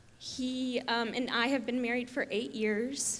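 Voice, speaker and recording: A woman's high-pitched voice at a moderate pace amid noticeable background noise. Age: 20s. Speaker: mother sharing testimony. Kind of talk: testimony. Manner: hesitant, many fillers.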